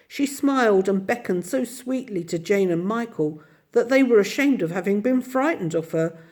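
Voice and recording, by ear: Intonation here is lively. The text is read aloud in a natural voice.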